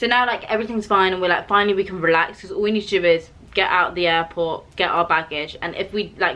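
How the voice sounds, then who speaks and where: A woman talks at a very fast pace with hardly any pauses. Her medium-pitched voice is bright and sharp, with a British accent. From UK. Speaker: vlogger. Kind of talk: casual storytelling chat. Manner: animated.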